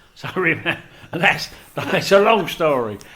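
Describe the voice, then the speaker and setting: Noticeable background noise runs under this recording. The man speaking uses lively intonation. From South London. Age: 70s. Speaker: retired photographer and former teacher. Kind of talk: oral history interview. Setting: library meeting room.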